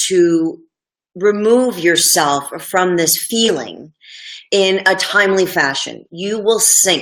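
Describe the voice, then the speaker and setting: A woman speaks at a medium pitch and a very slow pace. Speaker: anger management coach. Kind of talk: live stream talk. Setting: live video stream. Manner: casual, filler-heavy.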